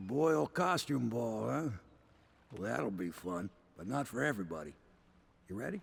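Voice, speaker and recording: Putting on a character voice, a man speaks in a raspy, fairly low voice with very wide pitch swings at a moderate pace, with long, frequent pauses. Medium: video game. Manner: folksy, dry.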